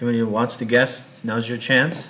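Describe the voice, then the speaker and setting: A man with an American accent speaks at a medium pitch, with audible room echo around him. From US West Coast, Los Angeles. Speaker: university English teacher. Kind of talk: recorded online class introduction. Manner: casual, hesitant with fillers; slow, simple speech for learners.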